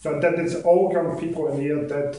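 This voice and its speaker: A man talks in a west of Scotland accent at a moderate pace, his intonation fairly even. Noticeable background noise runs behind him. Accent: west of Scotland Scottish. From Scotland, Ayr (west coast). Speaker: accountant giving a club speech. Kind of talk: prepared public speech. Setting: speaking club meeting with audience.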